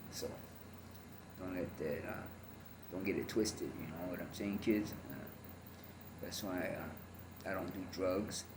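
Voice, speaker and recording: A man's very deep, low voice with an American accent, fairly even intonation and a fairly slow pace, marked by long, frequent pauses, audible room echo and noticeable background noise. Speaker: former gang member and ex-convict. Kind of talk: testimony. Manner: halting, many fillers.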